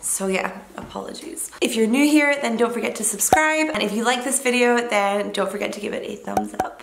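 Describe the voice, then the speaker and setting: A woman with a fairly high pitch talks at a fairly quick pace with hardly any pauses, lively intonation and big swings in loudness, against noticeable background noise. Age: 20s. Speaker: fitness vlogger and online coach. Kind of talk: casual vlog talk to camera.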